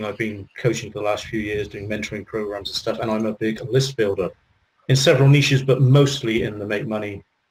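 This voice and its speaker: Talking at a very fast pace, a man with a British accent and a medium pitch sounds somewhat breathy, with ordinary pitch variation. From UK. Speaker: business coach and internet marketer. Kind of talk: interview Q&A.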